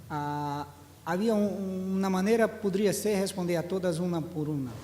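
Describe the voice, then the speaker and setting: A man with a Portuguese accent, high in pitch, with a dark, mellow tone, ordinary pitch variation, a fairly slow pace and audible room echo. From Brazil. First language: Portuguese (speaking Spanish). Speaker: education statistics official. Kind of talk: conference panel talk. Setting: seminar hall with audience.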